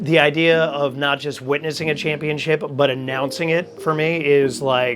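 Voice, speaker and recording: A man talks with fairly even intonation at a moderate pace while noticeable background noise carries on. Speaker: stadium public address announcer. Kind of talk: interview answer.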